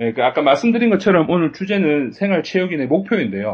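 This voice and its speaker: This man's pitch swings very widely as he speaks. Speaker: podcast host. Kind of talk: casual chat. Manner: halting.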